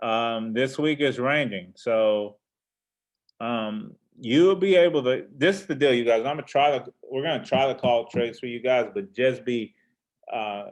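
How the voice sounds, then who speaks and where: An unremarkable speaking voice from a man at medium pitch, with lively intonation and a fairly slow pace. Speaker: forex trader and trading teacher. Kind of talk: trading market overview. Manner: relaxed, casual.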